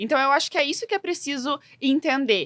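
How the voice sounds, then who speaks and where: A woman speaks at a moderate pace with a bright, sharp tone. The sound is dry and close, with no echo. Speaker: fashion influencer. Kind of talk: casual chat. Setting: studio.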